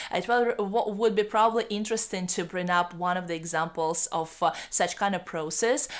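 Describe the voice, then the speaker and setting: With a Russian accent, a woman speaks at a moderate pace, her medium pitch showing ordinary variation. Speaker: YouTuber on bilingualism. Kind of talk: educational vlog. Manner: halting, many fillers.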